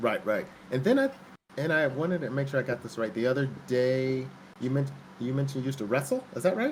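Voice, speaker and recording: At a very fast pace, a man talks with a somewhat breathy voice. His pitch is medium and varies in an ordinary way. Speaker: streamer's father. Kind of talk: casual chat. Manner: halting.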